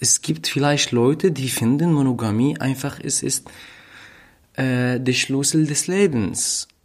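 A man speaks at a medium pitch with a non-native accent. His pace is very slow. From Syria. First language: not German (speaking German). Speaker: refugee, podcast guest. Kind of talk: casual chat. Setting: at host's flat. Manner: halting, searching for words.

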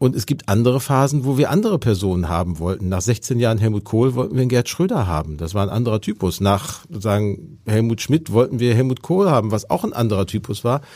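A dark, mellow male voice at a very fast pace. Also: medium pitch for a man, lively intonation, hardly any pauses. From Ruhr area, Germany. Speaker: politician and speechwriter. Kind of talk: interview. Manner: fluent free speech.

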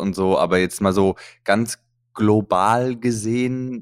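A man talks with fairly even intonation, recorded very cleanly against a silent background. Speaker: comedian and podcast co-host. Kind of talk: casual chat.

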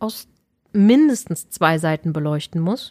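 Speaking at a very slow pace, a woman is captured on a very clean recording with a silent background and a dry, close sound with no echo. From Berlin, Germany. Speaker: author and dramaturge. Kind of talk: interview conversation. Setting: studio.

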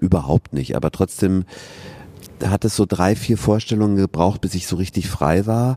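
A man at a moderate pace, recorded with a dry, close sound and no echo. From southern Germany, Regensburg (Bavaria). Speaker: stage actor. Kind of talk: casual interview. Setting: theatre foyer.

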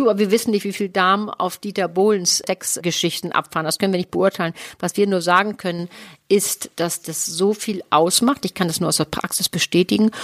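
In a plain, everyday voice, a woman talks fairly quickly at medium pitch with fairly even intonation, recorded very clean and dry, close with no echo, over a silent background. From Hamburg, northern Germany. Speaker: sex therapist and podcast co-host. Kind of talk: casual chat.

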